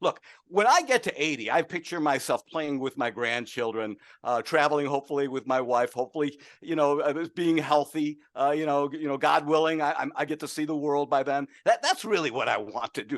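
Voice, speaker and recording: A man talks in a normal speaking voice at a fairly high pitch, with ordinary pitch variation and a fairly quick pace. The sound is dry and close with no echo, over a quiet background. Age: 60s. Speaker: market strategist. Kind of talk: casual chat.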